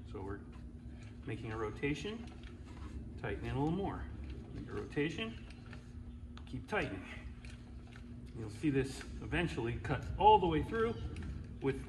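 With noticeable background noise around him, a man talks at a moderate pace, leaving long, frequent pauses. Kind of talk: tutorial. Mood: relaxed, joking. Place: garage. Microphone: camera far.

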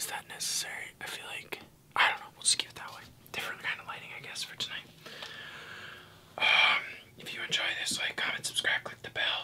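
Whispering at a fairly quick pace, a man keeps a relaxed tone, with long, frequent pauses and big swings in loudness. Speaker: ASMR creator. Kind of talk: ASMR casual talk to camera. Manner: soft-spoken, relaxed. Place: home room.

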